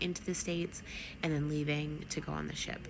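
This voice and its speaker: The speaker is soft-spoken and talks at a fairly quick pace. Audible room echo and noticeable background noise are present. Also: woman. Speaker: travel vlogger. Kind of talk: casual vlog review. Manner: soft-spoken, talking low; many filler ums.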